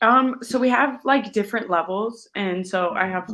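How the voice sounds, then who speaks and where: A woman with an Upper Midwest accent talks at a moderate pace, her pitch varying in an ordinary way. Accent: Upper Midwest American. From Minnesota, US. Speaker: professional footballer. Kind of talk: interview. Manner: casual, many fillers.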